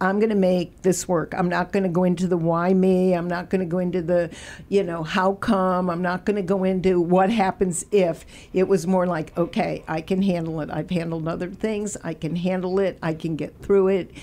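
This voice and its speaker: On a very clean recording with a silent background, a woman with a medium pitch and a dark, mellow tone speaks at a moderate pace in a monotone, flat intonation. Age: 70s. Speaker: cancer survivor guest. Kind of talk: radio interview.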